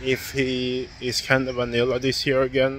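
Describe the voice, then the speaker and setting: Speaking at a very slow pace, a man comes through a dry sound with no echo and light background noise. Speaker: sports vlogger. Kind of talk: casual vlog chat. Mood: critical opinion rant. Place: street. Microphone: phone near.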